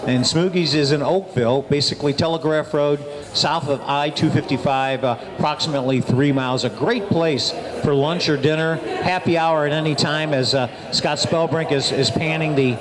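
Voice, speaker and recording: A man speaks at a moderate pace with a fairly high pitch, fairly even intonation and very even loudness. Noticeable background noise and audible room echo are present. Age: 60s. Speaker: radio show host. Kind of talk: radio talk show, product promotion. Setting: live remote broadcast at a restaurant.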